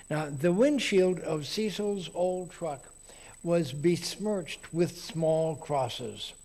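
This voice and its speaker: The speaker has an American accent and a dark, mellow tone, going at a very slow pace. Pitch variation is ordinary, and there is audible room echo. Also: man, high pitch for a man. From Texas. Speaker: lay preacher at a Unitarian congregation. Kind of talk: sermon.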